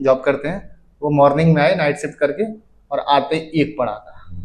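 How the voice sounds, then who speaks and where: Speaking at a moderate pace, the man has a normal speaking voice pitched fairly high. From Faridabad, Haryana, India. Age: 20s. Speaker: Bhojpuri singer and actor. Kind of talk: interview answer. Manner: casual, conversational.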